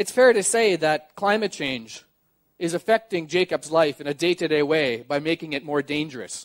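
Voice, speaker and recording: A man's plain, everyday voice with a Canadian accent, fairly high in pitch, at a moderate pace with ordinary pitch variation, against a quiet background. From Canadian Prairies. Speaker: journalist and sailor; journalist. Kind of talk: public talk. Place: stage. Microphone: headset.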